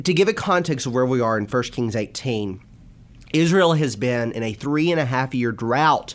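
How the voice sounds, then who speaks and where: Here is a man with a plain, everyday voice at medium pitch. He moves at a moderate pace with lively intonation. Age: 20s. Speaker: minister. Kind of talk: religious discussion.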